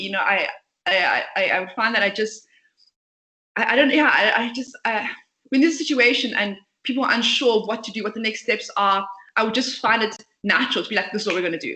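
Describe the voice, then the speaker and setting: A woman with a fairly high pitch and a bright, sharp tone speaks very fast, with lively intonation and a passionate tone. Long pauses come often between her words. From South Africa, Port Elizabeth. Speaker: startup founder and CEO. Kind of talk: interview. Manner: talkative, passionate.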